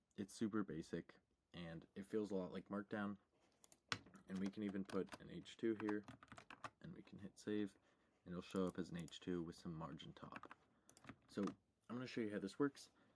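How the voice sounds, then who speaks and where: A soft-spoken man talks at a moderate pace in a fairly low pitch with ordinary variation. The sound is dry and close with no echo. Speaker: programming tutorial youtuber. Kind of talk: screen-share coding tutorial. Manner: quiet, talking very softly; casual, with fillers.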